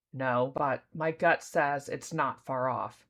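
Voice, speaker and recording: A raspy, put-on character voice sits at a low-to-middle pitch. It moves at a fairly slow pace over a quiet background. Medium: read story. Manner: grim, terse.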